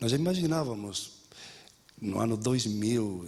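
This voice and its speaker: A man speaks at medium pitch. Audible room echo surrounds his voice. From Spain. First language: Spanish (speaking Portuguese). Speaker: education professor. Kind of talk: lecture. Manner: halting, with frequent repetitions and fillers.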